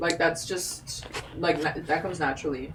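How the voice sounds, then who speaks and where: At a moderate pace, a woman speaks with a fairly low pitch. Noticeable background noise runs underneath. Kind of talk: casual chat. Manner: animated.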